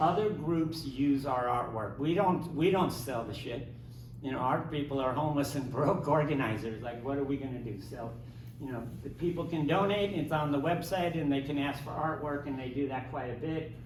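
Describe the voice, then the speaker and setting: Recorded with audible room echo and noticeable background noise, a man talks at a fairly high pitch with ordinary pitch variation. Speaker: homeless rights activist. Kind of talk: panel discussion. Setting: library event with live audience. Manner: fast; animated.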